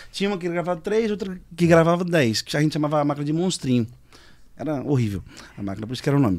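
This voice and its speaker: A man rushes along at a very fast pace with lively intonation. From Brazil, São Paulo. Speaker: musician; podcast guest. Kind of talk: casual chat. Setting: studio. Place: studio. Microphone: studio mic.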